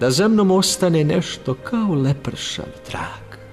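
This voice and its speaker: A man is speaking. Music plays in the background. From Serbia. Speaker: voice-over artist, radio and TV presenter. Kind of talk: poetry reading.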